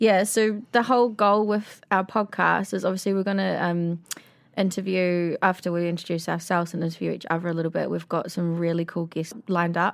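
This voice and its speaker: She speaks with a New Zealand accent at a fairly quick pace. This woman has a fairly low pitch and fairly even intonation. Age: 30s. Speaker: podcast co-host. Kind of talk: casual chat.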